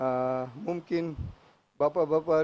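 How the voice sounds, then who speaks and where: Dark, mellow tone from a man, fairly high in pitch. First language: English (speaking Indonesian). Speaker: international agency representative. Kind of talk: formal ceremonial speech. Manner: slow; halting.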